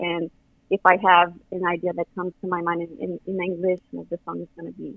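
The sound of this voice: In a dry, close sound with no echo, a woman talks at a fairly quick pace with a fairly low pitch, monotone, flat intonation and vocal fry.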